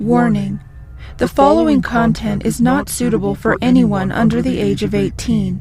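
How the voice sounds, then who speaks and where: Music plays in the background while the speaker talks at a moderate pace with lively intonation. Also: woman, very deep, low pitch for a woman. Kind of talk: formal content warning read.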